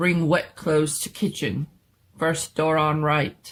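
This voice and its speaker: On a very clean recording with a silent background, a man does a booming, rumbling put-on character voice at a fairly high pitch and a fairly slow pace. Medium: read story. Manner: terse broken speech, few words.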